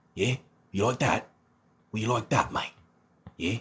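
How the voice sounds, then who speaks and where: A man does a put-on character voice in an Australian accent, with a raspy sound. He speaks at a moderate pace and a medium pitch. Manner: playful, teasing.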